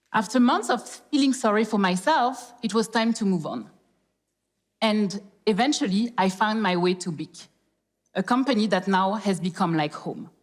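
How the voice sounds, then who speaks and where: Lively intonation and a somewhat breathy quality come through at a moderate pace in a French accent. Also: woman. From France, Paris (born in Congo). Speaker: corporate professional, speaker. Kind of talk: public talk.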